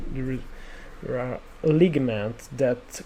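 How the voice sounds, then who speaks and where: A man speaks with an Italian accent at a medium pitch. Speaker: 3D sculpting artist. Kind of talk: tutorial. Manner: halting, many fillers.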